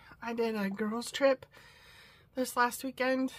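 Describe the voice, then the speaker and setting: Her somewhat breathy voice stays monotone, with flat intonation throughout. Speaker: crafting vlogger. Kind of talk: casual haul vlog. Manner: hesitant, many fillers.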